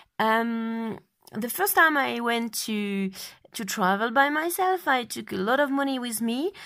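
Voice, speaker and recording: A woman with a French accent speaks at a fairly slow pace in a fairly high pitch, her intonation lively. The recording is very clean against a silent background. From France. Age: 20s. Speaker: travel blogger. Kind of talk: interview. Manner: halting.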